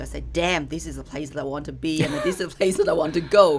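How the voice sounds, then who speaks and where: Vocal fry in a Chinese accent. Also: woman. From China. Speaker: company co-founder. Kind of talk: podcast conversation.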